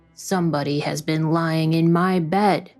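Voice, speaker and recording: A gruff, put-on character voice at a middle pitch and moderate pace, with faint music in the background. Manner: angry.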